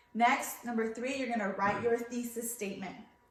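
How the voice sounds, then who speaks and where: Fairly high female voice with fairly even intonation, audible room echo and noticeable background noise. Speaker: schoolteacher. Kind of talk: remote lesson. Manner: loud.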